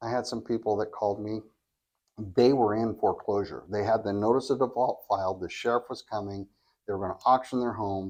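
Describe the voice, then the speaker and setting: A man's plain, everyday voice at medium pitch, fairly quick and fairly even in intonation, over a quiet background. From California. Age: 60s. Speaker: reverse mortgage specialist. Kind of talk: podcast interview.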